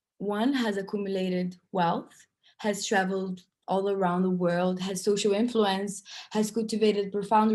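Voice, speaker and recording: This woman talks at a moderate pace with a non-native accent. Her pitch is medium and her intonation is monotone and flat. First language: not English. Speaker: workshop speaker. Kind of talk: online festival talk.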